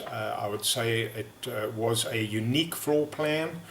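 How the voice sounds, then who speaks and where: Background noise is noticeable throughout. The man talks at a medium pitch. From South Africa. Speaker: real estate agent. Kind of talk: sales pitch. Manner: halting, many fillers.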